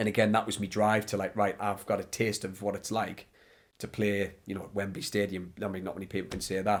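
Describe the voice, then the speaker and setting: Fairly quick, monotone, flat delivery in a northeast English accent. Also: man, fairly low pitch for a man. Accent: north-east English. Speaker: ex goalkeeper and goalkeeper coach. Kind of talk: podcast interview. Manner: loud.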